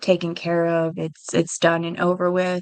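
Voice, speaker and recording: The speaker is a woman. Her pitch is fairly low. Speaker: true crime livestreamer. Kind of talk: livestream commentary. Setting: live stream. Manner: halting, with stutters and fillers.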